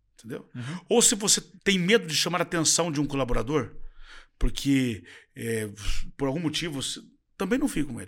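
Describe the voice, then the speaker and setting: A man's fairly high pitch with vocal fry and very wide pitch swings. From Brazil, interior of Paraná. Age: 50s. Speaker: dental franchise founder and CEO. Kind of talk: interview.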